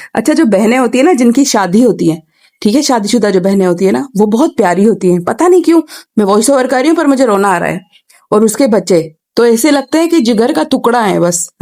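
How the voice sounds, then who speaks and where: A woman speaks at a moderate pace with a fairly high pitch and very wide pitch swings. Her loudness stays very even. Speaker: family vlogger. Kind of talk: vlog voice-over narration.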